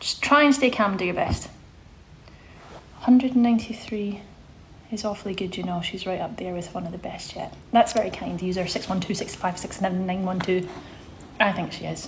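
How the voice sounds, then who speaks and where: Over noticeable background noise, a woman at medium pitch speaks at a fairly quick pace with ordinary pitch variation, big swings in loudness, and long, frequent pauses. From Scotland, Glasgow. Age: 30s. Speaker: social media presenter. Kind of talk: casual live stream Q&A. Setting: live stream reading chat. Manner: chatty, informal.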